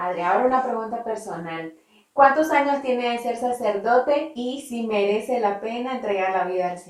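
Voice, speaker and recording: A woman's ordinary speaking voice, fairly high in pitch, at a moderate pace with lively intonation and big swings in loudness. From Nicaragua. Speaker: interviewer. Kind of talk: interview questions.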